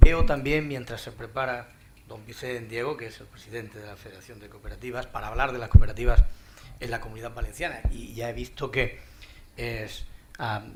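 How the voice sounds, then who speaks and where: With music in the background and audible room echo, a man speaks at a fairly quick pace and medium pitch, his intonation fairly even but his loudness swinging widely. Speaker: panel moderator. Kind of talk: conference panel moderation. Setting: conference hall with audience. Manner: halting, repeats words.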